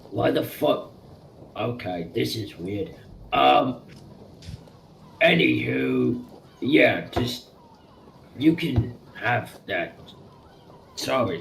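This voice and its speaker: Using a put-on character voice, a raspy man speaks very slowly with long, frequent pauses. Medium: actual play. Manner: rambling, crude.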